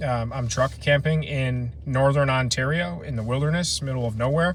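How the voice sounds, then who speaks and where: A man with an American accent talks at a moderate pace and medium pitch. His pitch varies in an ordinary way, and there is noticeable background noise. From Ohio, US Midwest. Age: 30s. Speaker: camping vlogger. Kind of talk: casual live stream chat. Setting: outdoors, truck camping in the wilderness.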